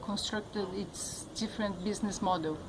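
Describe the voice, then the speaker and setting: Audible room echo around a female speaker of medium pitch. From Brazil. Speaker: journalist. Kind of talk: interview. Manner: halting.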